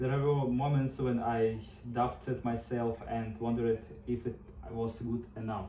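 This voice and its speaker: A man's medium-pitched voice with a Russian accent, at a moderate pace over noticeable background noise. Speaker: nursing student. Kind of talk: class speech. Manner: prepared, slightly halting.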